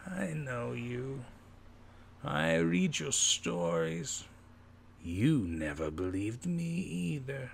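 In a put-on character voice, a man speaks at a very slow pace with a medium pitch and very wide pitch swings over clear background noise. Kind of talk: dramatic story reading. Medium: read story. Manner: bitter, forlorn. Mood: eerie, ominous.

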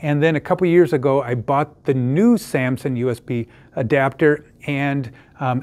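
The speech has ordinary pitch variation at a fairly slow pace. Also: man. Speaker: tech product reviewer. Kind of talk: tutorial. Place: home room.

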